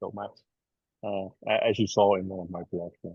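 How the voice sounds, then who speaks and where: In a Dutch accent, a man speaks at a moderate pace with a fairly low pitch. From Netherlands, Rotterdam. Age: 60s. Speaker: embedded software engineer. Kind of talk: podcast interview. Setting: video call from an airport. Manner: halting, many fillers.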